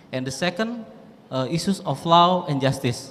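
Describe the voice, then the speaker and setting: A man's lively intonation carries his words along at a moderate pace. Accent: Indonesian. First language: Indonesian. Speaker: lecturer asking a question. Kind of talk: audience question at lecture. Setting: university lecture hall. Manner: halting, many fillers.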